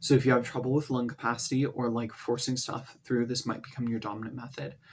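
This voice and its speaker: A man with a medium pitch talks at a very fast pace, somewhat breathy, with fairly even intonation. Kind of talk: casual talk to camera.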